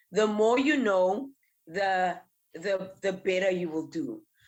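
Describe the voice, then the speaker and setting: In an ordinary speaking voice, a woman talks at a fairly slow pace and medium pitch with ordinary pitch variation. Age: 20s. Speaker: entrepreneur and speaker. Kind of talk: interview. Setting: in person next to hosts.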